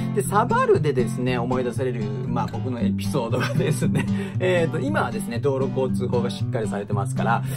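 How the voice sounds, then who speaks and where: Loud music plays in the background. The speaker talks at a fairly quick pace. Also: man. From Hiroshima, Onomichi. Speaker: actor. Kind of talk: casual talk to camera. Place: studio. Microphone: phone near.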